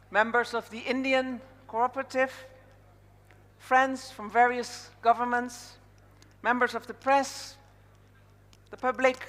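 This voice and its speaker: In a Dutch accent, a woman with a high pitch speaks at a fairly slow pace. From Netherlands. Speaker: conference MC. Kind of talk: event hosting speech. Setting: stage with audience.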